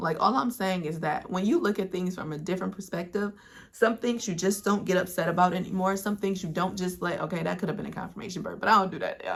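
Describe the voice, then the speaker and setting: There's a medium pitch to this woman's voice, which comes across as somewhat breathy. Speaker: spiritual storyteller and content creator. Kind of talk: casual monologue. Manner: rambling, filler-heavy.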